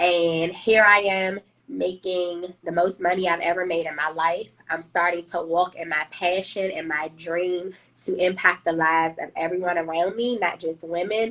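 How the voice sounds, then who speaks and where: Fairly low for a woman, her voice has a bright, sharp tone and fairly even intonation at a moderate pace. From Washington, D.C. (Southeast). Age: 30s. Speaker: HR professional, trauma survivor sharing her story. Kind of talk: testimony in live interview.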